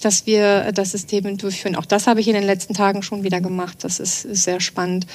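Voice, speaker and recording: A woman speaks at a fairly quick pace with a medium-pitched voice. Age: 40s. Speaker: trend scout at a chamber of commerce. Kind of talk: podcast interview. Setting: studio. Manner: frequent hesitation fillers.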